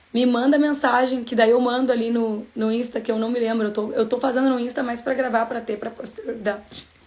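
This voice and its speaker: A woman with a high-pitched voice. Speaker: bible study teacher. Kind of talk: casual livestream bible study talk. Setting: live stream. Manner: animated.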